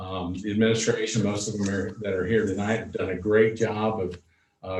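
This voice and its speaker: Fairly low male voice, moderately paced, plus audible echo from the room. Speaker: school superintendent. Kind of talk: board meeting report. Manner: loud; halting, many fillers.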